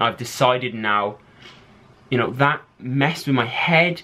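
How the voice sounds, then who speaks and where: The voice has a bright, sharp tone and ordinary pitch variation, with an English accent. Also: man. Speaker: fitness vlogger and bodybuilder. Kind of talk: casual vlog talk.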